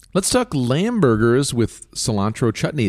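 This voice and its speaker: Speaking at a moderate pace, a man with a medium-pitched voice uses lively intonation. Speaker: cookbook podcast co-host. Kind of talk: casual chat. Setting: home living room. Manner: announcer-like delivery.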